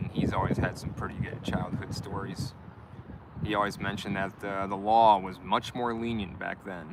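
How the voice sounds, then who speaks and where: A man with an American accent speaks at a fairly low pitch and moderate pace in a relaxed tone. His intonation is monotone and flat, with noticeable background noise behind him. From US Midwest, Michigan. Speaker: live streamer, van dweller. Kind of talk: casual live stream chat. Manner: relaxed, hesitant with fillers.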